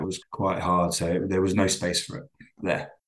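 Against a quiet background, a man with an English accent speaks at a moderate pace in a very deep, low pitch. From England, London. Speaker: business owner and working dad. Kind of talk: interview.

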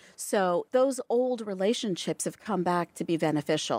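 A woman uses an ordinary speaking voice with lively intonation at a moderate pace, recorded very cleanly with a silent background and a dry, close sound with no echo. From Toronto, Canada. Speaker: fashion entrepreneur. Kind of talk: interview. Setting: studio.

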